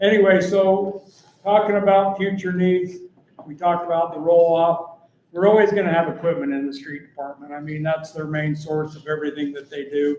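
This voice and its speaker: An ordinary speaking voice belongs to a man who speaks at a moderate pace with a fairly high pitch and fairly even intonation. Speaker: city department head presenting budget. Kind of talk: budget meeting presentation. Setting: city council meeting.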